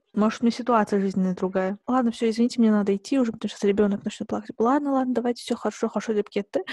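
A woman's fairly high, somewhat breathy voice with a dark, mellow tone, a very fast pace and hardly any pauses, in a dry, close sound with no echo. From southern Kazakhstan. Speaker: podcast host. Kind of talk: casual chat.

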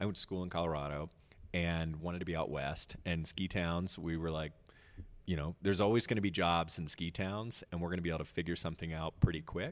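Here a man talks very fast in an American accent. His pitch is very deep and low, with fairly even intonation. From US South. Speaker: arts center director and drama teacher. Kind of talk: interview. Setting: theater.

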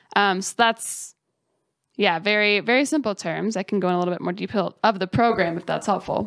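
In an American accent, an unremarkable speaking voice moves at a fairly quick pace with ordinary pitch variation, captured in a dry, close sound with no echo on a very clean recording with a silent background. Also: woman, medium pitch for a woman. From Colorado (mountains west of Denver). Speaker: startup program manager. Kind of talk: casual interview.

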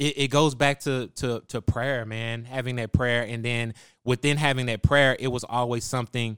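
With an American accent, a man talks at a medium pitch and a moderate pace in a flat monotone, recorded very cleanly against a silent background with a dry, close sound and no echo. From Texas, Waco. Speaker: music producer. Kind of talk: casual interview. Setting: studio.

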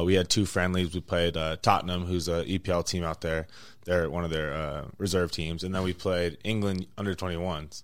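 A man with a Western US accent talks at a fairly quick pace. His pitch is very deep and low, and his intonation is monotone and flat. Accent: American, Western US. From Las Vegas, Nevada. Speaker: soccer goalkeeper. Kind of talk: casual interview. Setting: in person interview at a venue. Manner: relaxed, laughing.

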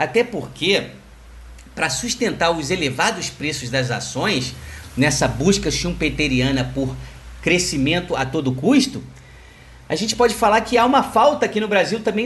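The voice belongs to a man. He swings his pitch very widely. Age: 40s. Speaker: financial market analyst. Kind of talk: solo market commentary podcast.

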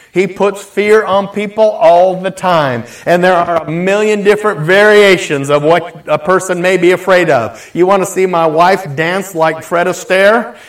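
Over noticeable background noise, a man with a high pitch and ordinary pitch variation talks at a moderate pace with hardly any pauses. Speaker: pastor. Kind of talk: sermon. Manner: animated.

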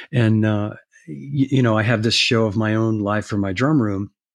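A man's ordinary speaking voice at a medium pitch and moderate pace with ordinary pitch variation, over a quiet background. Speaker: former drum industry executive. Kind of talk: interview.

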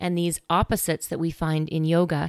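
In a very clean recording with a silent background, a woman uses a normal speaking voice at a fairly low pitch. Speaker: meditation host. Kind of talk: guided meditation. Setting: quiet background music. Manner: gentle, instructional.

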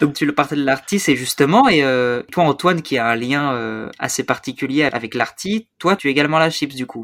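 An ordinary speaking voice, from a man with a fairly high pitch. He leaves hardly any pauses. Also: ordinary pitch variation, fairly quick pace. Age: young. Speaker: podcast host. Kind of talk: casual chat.

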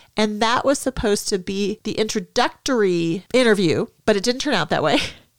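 An unremarkable speaking voice from a woman with an American accent, fairly high in pitch, lively in intonation and moderate in pace, on a very clean recording with a silent background and a dry, close sound with no echo. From Minnesota. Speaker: podcast host, hockey mom. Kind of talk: casual chat.

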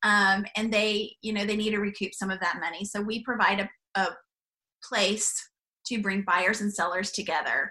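A woman talks at a medium pitch and moderate pace with a bright, sharp tone. Her intonation is monotone and flat. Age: 50s. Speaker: business founder and CEO. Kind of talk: interview.

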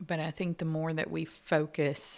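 A woman's very deep, low voice with vocal fry, a monotone, flat delivery and a fairly slow pace, in a very clean recording over a silent background. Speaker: podcast co-host. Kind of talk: casual faith-based chat.

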